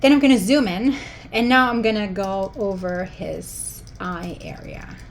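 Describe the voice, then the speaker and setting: A woman with a medium pitch talks at a fairly slow pace with ordinary pitch variation and big swings in loudness, amid noticeable background noise and audible room echo. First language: German. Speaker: photo editing tutorial maker. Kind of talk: tutorial. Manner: animated.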